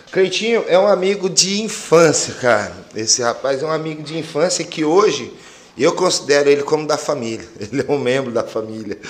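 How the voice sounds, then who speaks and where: Very wide pitch swings from a man, moderately paced. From Mato Grosso do Sul, Brazil (Campo Grande, Pantanal). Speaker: Muay Thai coach. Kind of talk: casual chat.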